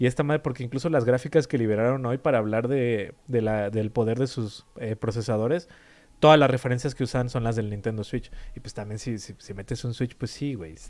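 This very clean recording with a silent background carries speech at a fairly quick pace with ordinary pitch variation. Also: man, medium pitch for a man. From Mexico. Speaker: video game podcast co-host. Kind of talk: casual chat.

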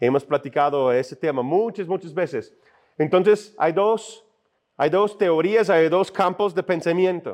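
The delivery is fairly slow. Pitch varies in an ordinary way. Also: man, high pitch for a man. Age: 40s. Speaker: pastor. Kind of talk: sermon. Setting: church.

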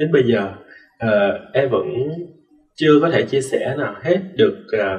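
Somewhat breathy, a man's medium-pitched voice carries lively intonation. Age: 20s. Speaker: student and dancer. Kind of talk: interview.

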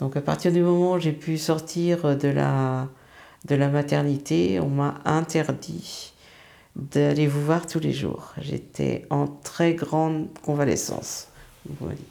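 Her pitch is very deep and low, her tone dark and mellow. This woman speaks at a very slow pace. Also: ordinary pitch variation. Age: 60s. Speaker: retiree and grandmother. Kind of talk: casual chat.

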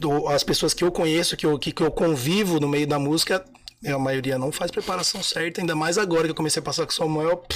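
A man with a fairly high pitch talks very fast with fairly even intonation over noticeable background noise. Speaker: singer and musician. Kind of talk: casual chat.

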